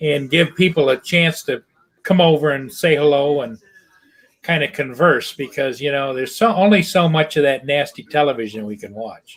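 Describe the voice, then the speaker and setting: In a normal speaking voice, a man with a fairly high pitch speaks at a moderate pace with ordinary pitch variation. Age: 60s. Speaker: drone hobbyist viewer. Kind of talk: casual chat.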